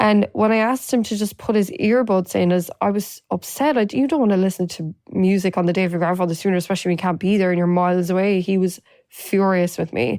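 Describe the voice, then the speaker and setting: Speaking at a very fast pace with hardly any pauses, a woman has an Irish accent and a dark, mellow tone. Her pitch is medium, with ordinary variation. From Ireland. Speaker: domestic abuse survivor and advocate. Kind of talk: personal testimony.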